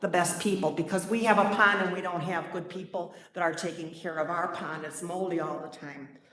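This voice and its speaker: A woman's medium pitch in monotone, flat intonation at a fairly quick pace, with noticeable background noise. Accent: American. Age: 70s. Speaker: retired nurse, resident speaking at public hearing. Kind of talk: public comment at hearing. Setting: village plan commission meeting, PA microphone. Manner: halting, with many fillers and restarts.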